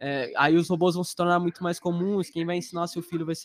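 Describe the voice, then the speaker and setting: A man's high-pitched voice at a moderate pace. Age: 20s. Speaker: software engineer. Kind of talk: casual chat. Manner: talkative.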